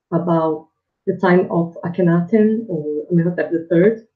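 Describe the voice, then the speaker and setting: In a Brazilian Portuguese accent, a woman speaks at a moderate pace with a fairly low pitch and ordinary pitch variation. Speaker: PhD student, historian. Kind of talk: interview self-introduction.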